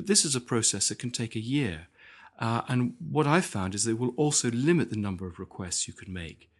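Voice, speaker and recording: Against a quiet background, a man with a British accent talks at a fairly quick pace. His medium pitch carries lively intonation. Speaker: historian and author. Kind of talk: interview. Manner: halting, repeats words.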